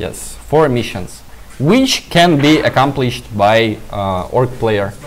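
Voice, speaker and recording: Amid noticeable background noise, a man at medium pitch talks very slowly with lively intonation. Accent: Russian. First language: Russian. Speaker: game stream commentator. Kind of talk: live commentary. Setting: live stream. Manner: halting.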